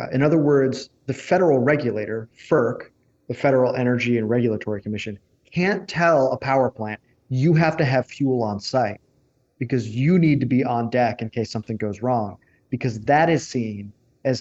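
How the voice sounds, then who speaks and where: A man's normal speaking voice, medium in pitch, with ordinary pitch variation and a moderate pace. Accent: American. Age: 30s. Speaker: energy writer and researcher. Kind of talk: interview.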